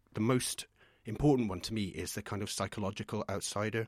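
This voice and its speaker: A man's fairly low voice with a Scottish accent, fairly even in intonation and fairly quick in pace, dry and close with no echo, on a very clean recording with a silent background. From Scotland, small village. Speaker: poet. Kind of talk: casual chat.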